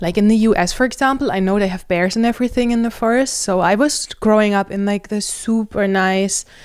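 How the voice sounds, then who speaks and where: This woman speaks with a German accent. Her intonation is fairly even. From Germany. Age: 30s. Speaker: nutritionist. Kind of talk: casual vlog monologue.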